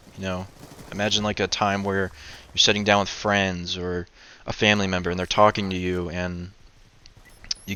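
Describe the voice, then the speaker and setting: A man mumbles at a very deep, low pitch. He goes at a fairly quick pace with monotone, flat intonation. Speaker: video commentator. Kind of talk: casual vlog monologue. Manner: mumbling, stuttering; laid back.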